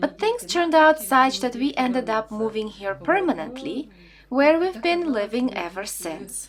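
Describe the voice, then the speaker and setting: Over noticeable background noise, a woman speaks at a moderate pace in a high voice whose pitch swings very widely. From western Ukraine (Rovno). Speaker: interviewee, former Soviet citizen. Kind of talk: interview.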